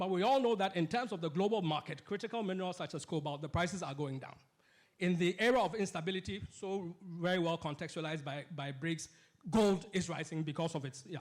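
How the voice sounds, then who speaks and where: A loud man with a high pitch, talking at a very fast pace. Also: ordinary pitch variation. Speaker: political economist and panellist. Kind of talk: panel discussion. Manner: halting, many false starts.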